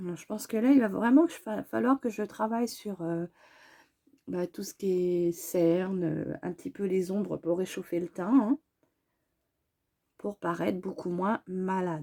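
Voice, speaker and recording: On a very clean, dry and close recording with no echo and a silent background, a woman speaks at a medium pitch in a dark, mellow tone, fairly slowly, with long, frequent pauses and ordinary pitch variation. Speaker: beauty vlogger. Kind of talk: makeup tutorial. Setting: at home. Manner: halting, many hesitations.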